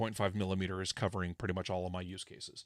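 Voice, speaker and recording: The recording is dry with no echo and a quiet background as a man speaks with an American accent. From California. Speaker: ham radio electronics designer / livestreamer; ham radio electronics designer, livestreamer. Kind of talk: casual technical livestream tutorial. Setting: livestream with remote guest. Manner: loud. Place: home room. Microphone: studio mic.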